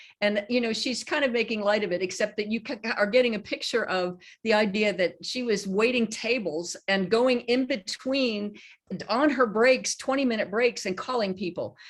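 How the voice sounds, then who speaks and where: Moving at a moderate pace, a woman with an unremarkable speaking voice talks at a fairly high pitch with ordinary pitch variation. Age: 60s. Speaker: horse trainer. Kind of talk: casual chat.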